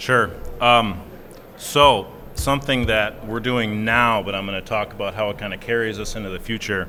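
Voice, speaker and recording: Fairly low male voice at a moderate pace, fairly even in intonation, with audible room echo. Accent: Minnesota. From US Midwest, Minnesota. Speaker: software engineer, panelist. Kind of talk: conference panel discussion.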